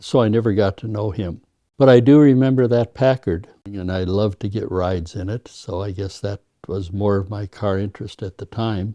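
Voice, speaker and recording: A man with an Upper Midwest accent speaks in a fairly low, dark and mellow voice. The sound is dry and close with no echo, over a quiet background. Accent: Upper Midwest American. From US Upper Midwest, North Dakota (Devil's Lake, Fargo). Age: 80s+. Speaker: retired car show judge and collector. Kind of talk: interview storytelling. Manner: hesitant with repetitions.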